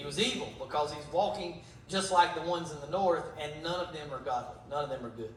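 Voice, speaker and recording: Through noticeable background noise and audible room echo, a man speaks in a high pitch with ordinary pitch variation. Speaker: Bible teacher. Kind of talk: Bible study teaching.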